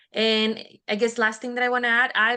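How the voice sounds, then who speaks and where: In a bright, sharp tone, a woman with a fairly high pitch talks with monotone, flat intonation over a quiet background. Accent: Spanish. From Mexico. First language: Spanish. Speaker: instructional technology coach, bilingual teacher. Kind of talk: webinar presentation. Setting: video webinar.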